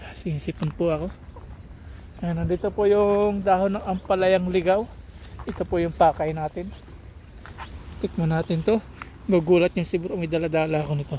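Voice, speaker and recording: A man with a high voice speaks at a moderate pace and fairly even intonation, leaving long, frequent pauses. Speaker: vlogger. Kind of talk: casual vlog narration. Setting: outdoors.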